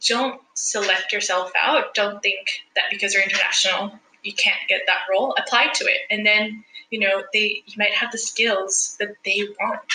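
This woman speaks with a Spanish accent. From El Salvador. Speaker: sustainability specialist. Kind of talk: interview.

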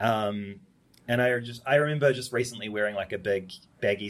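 In a New Zealand accent, a man talks at a moderate pace with ordinary pitch variation on a very clean recording with a silent background. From New Zealand, Upper Hutt. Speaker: fashion designer. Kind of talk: casual chat. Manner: animated.

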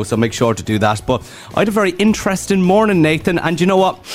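Over noticeable background noise, a man with a Dublin accent talks at a very fast pace with very wide pitch swings. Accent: Dublin Irish. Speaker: radio host. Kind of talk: radio dj patter, upbeat drive-time banter with link-ins to songs, ads and traffic.

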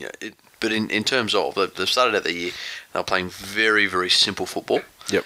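This man speaks with an Australian accent. His pace is fairly quick. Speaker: podcast co-host, rugby league. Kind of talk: casual chat.

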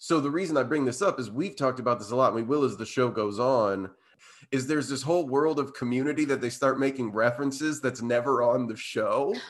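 This man talks very fast. He has a medium pitch. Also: ordinary pitch variation. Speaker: podcast host. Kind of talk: casual chat. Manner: casual, chatty.

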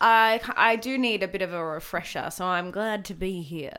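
Bright and sharp in tone, a woman speaks at a fairly slow pace with a medium pitch and ordinary pitch variation. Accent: Australian. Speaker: comedian. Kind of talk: casual chat.

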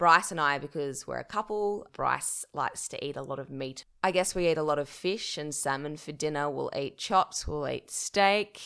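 With an Australian accent, a woman speaks at a moderate pace with hardly any pauses, her very deep, low pitch carrying a bright, sharp tone and ordinary variation. The recording is very clean, with a silent background. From regional New South Wales, Australia (Dubbo). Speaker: journalist and podcaster. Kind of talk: casual interview chat.

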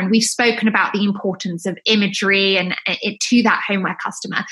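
Fairly high in pitch, a woman speaks with a British accent and ordinary pitch variation. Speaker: podcast host. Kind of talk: casual chat.

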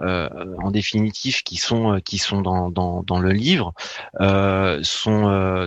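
Against a quiet background, a man's voice comes through dry and close with no echo. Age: 40s. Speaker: author and marketing specialist. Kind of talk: radio interview. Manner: halting, many hesitations.

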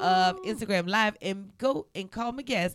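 A woman with an animated tone at a moderate pace, in a very clean recording with a silent background. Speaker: comedy podcast host. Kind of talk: casual chat. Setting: studio. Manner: animated, laughs often.

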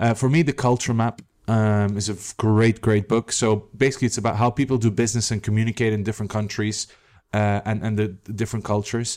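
On a very clean recording with a silent background, a man speaks very fast at a fairly low pitch. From Belgium. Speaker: tech startup CEO and co-founder. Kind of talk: interview. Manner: animated.

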